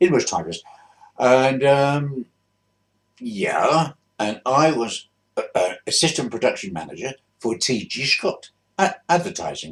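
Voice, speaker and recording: Using long, frequent pauses, a man with a London accent talks at a fairly slow pace. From South East London. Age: 80s+. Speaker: retired bus driver. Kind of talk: casual reminiscence to camera. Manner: hesitant, rambling.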